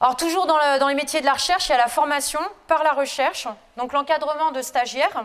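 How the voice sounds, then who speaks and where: A woman speaks at a high pitch and fairly quick pace with fairly even intonation. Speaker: lecturer-researcher in geology. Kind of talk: lecture.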